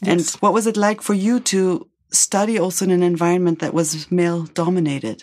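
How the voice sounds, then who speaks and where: A woman talks at a fairly quick pace in an ordinary speaking voice, her pitch fairly low with ordinary variation. Her loudness stays very even. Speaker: podcast host. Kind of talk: interview with narration.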